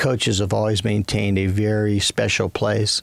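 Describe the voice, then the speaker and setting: Over noticeable background noise, a man speaks in an American accent at a fairly low pitch. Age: 60s. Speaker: business chairman and former coach. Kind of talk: interview.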